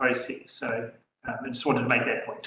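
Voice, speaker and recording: With audible room echo, a man speaks in a New Zealand accent. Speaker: council staff member. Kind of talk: council meeting briefing. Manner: loud.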